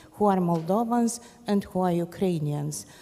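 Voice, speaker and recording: At a moderate pace, a woman with a medium pitch speaks with lively intonation over noticeable background noise. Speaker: journalist. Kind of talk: panel discussion.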